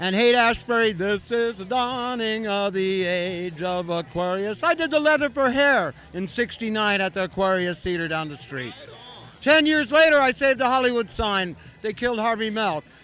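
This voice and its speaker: Speaking with an American accent, a man uses a raised, projected voice pitched high for a man, with lively intonation at a moderate pace. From US West Coast, San Francisco. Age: 60s. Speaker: cannabis activist. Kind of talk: interview. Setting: convention floor with music.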